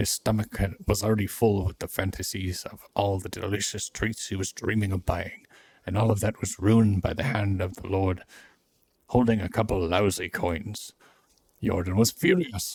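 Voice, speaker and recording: A gruff, put-on character voice delivers the lines at a moderate pace. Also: man, fairly low pitch for a man. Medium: game stream. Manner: gruff, irritable.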